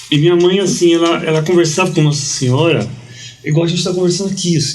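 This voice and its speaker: Over music in the background and audible room echo, a man talks very fast in a high pitch with fairly even intonation. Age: 50s. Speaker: journalist and preacher. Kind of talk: casual interview, testimony. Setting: podcast studio. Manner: halting, repeats words.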